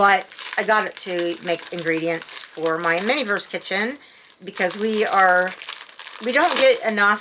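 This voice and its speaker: Over noticeable background noise, a woman speaks at a fairly slow pace and medium pitch with ordinary pitch variation. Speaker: unboxing and review channel host. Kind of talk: casual product unboxing and review. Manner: halting, with frequent fillers and restarts; chatty, self-described babbling.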